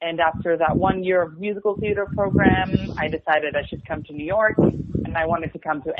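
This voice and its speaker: A woman's fairly low-pitched voice in an Israeli accent at a very fast pace, with ordinary pitch variation and noticeable background noise. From Israel, suburb of Tel Aviv. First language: Hebrew. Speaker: musical theater performer. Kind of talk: interview.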